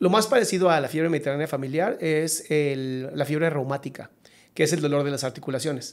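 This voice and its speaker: Fairly high for a man, his voice keeps fairly even intonation. He talks at a very fast pace. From Mexico. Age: 40s. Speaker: psychologist; podcast guest. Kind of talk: casual chat. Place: studio. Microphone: studio mic.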